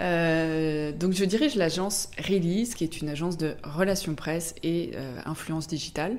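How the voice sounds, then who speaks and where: Amid audible room echo, a woman speaks at a fairly slow pace with a very deep, low pitch and ordinary pitch variation. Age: 30s. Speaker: press relations agency director. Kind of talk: podcast interview. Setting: office.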